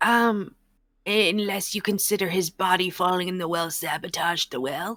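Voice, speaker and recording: Using a put-on character voice, a woman speaks in a raspy medium pitch. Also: moderate pace. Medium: actual play. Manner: rambling, gossipy.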